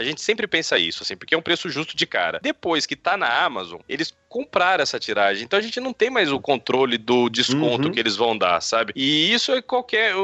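Fairly quick with hardly any pauses, a man speaks at a fairly high pitch with very wide pitch swings and vocal fry. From São Paulo state, Brazil. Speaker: comics editor. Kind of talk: casual interview.

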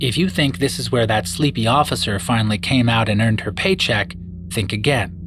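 The speech moves at a fairly quick pace with lively intonation, and there is noticeable background noise. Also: man, fairly low pitch for a man. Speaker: true crime narrator. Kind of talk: true-crime narration, scripted and serious. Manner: measured, grave, storytelling pace; formal, clear and expository.

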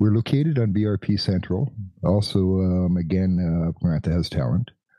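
With ordinary pitch variation, a man talks in a very deep, low voice. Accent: Canadian. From Canada. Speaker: podcast co-host. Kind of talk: casual chat.

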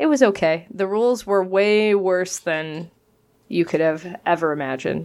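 A woman with an unremarkable speaking voice at a medium pitch talks at a moderate pace with lively intonation, in a very clean recording over a silent background. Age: 30s. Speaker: podcast co-host and teacher. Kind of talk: casual chat.

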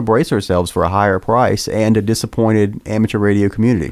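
In an ordinary speaking voice, a man talks at a fairly low pitch. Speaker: podcast co-host. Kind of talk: casual panel discussion about radio gear.

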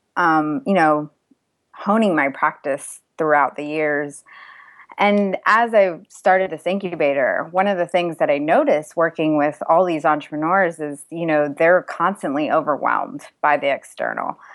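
In an American accent, a woman talks at a fairly slow pace with an unremarkable speaking voice. Her pitch is fairly low, with ordinary variation. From US, raised from age two, Indian family. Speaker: mindfulness course founder, engineer, entrepreneur. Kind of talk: podcast interview.

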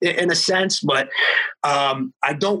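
A man's bright, sharp voice at a very slow pace. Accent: American. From Florida. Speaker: strength and conditioning coach. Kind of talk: casual interview.

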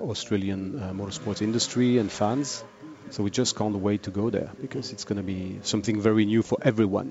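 Fairly low male voice with fairly even intonation over noticeable background noise. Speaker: motorsport series organiser. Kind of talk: interview. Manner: halting, many fillers.

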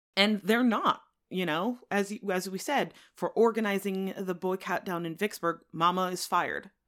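An ordinary speaking voice from a woman with an American accent, medium in pitch, at a moderate pace with fairly even intonation, on a very clean recording with a silent background. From central Connecticut. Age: 40s. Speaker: podcast guest, English major. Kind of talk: casual book discussion.

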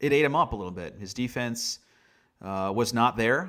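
In an unremarkable speaking voice, a man with an American accent talks at a moderate pace and medium pitch with ordinary pitch variation, on a very clean recording with a silent background. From US Northeast, Long Island, New York. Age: 30s. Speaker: baseball play-by-play broadcaster. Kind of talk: casual interview.

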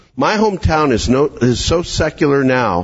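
A man speaks with a Canadian accent at a fairly high pitch and with lively intonation. Noticeable background noise runs under the recording. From Canada, Calgary, Alberta. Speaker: pastor and teacher. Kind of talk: conference workshop talk.

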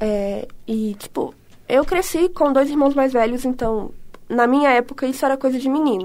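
With a high pitch, a woman talks with ordinary pitch variation. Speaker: podcast co-host. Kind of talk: casual chat.

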